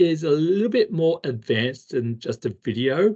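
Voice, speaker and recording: Somewhat breathy, a man with a strong Australian accent makes very wide pitch swings. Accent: heavy Australian. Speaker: instructional technology trainer. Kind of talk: tutorial. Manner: casual, conversational.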